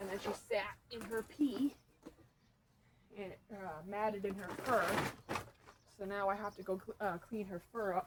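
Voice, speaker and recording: A woman's mumbling at medium pitch, fairly slow and fairly even in intonation, with long, frequent pauses and noticeable background noise. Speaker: rabbit breeder. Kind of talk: casual vlog while working. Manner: mumbling, volume up and down; rambling, casual.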